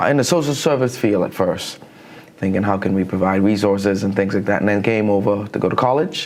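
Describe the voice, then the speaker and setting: A man with a Bahamian accent, fairly low pitch, ordinary pitch variation and a moderate pace, over noticeable background noise. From Bahamas. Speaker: counselor. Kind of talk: interview.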